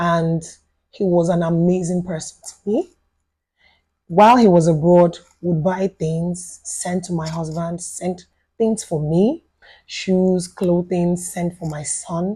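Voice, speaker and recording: A woman with a Yoruba accent speaks at a very slow pace in a fairly low, somewhat breathy voice with a dark, mellow tone and fairly even intonation. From Nigeria, Lagos. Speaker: widow sharing life story. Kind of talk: podcast interview testimony. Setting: studio.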